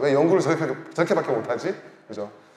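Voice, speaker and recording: Loud, animated and very fast, a man speaks with lively intonation amid noticeable background noise and audible room echo. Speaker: researcher presenting at a forum. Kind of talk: conference presentation. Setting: forum stage with audience.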